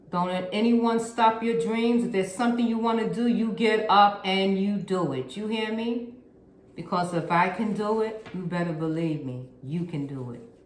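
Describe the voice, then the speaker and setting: Speaking at a moderate pace with lively intonation and an animated tone, a woman with a medium-pitched voice is heard over noticeable background noise and audible room echo. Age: 60s. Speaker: YouTube DIY content creator. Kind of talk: tutorial.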